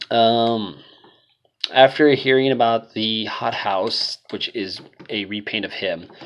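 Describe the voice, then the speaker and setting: A man's voice sits at a medium pitch. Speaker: toy reviewer. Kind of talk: product review. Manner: unenthusiastic.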